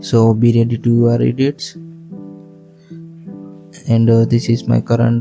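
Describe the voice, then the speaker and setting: Music in the background behind a man with a non-native accent at a moderate pace. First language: non-native English speaker. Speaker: video editing tutor. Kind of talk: software tutorial voiceover.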